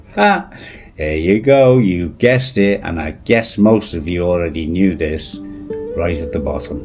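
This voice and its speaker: Music plays in the background as a man with a British accent speaks at a fairly slow pace. His pitch is very deep and low, and his intonation is lively. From UK. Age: 80s+. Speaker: pensioner. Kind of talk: casual talk to camera. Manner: ranting, indignant.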